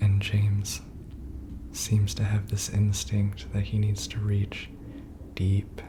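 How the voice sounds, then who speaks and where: A soft-spoken man with an American accent talks at a very slow pace, fairly low in pitch with ordinary variation. Noticeable background noise runs behind him. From US Midwest. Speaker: ASMR gaming narrator. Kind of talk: ASMR let's play voiceover commentary. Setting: voiceover recorded over pre-recorded gameplay.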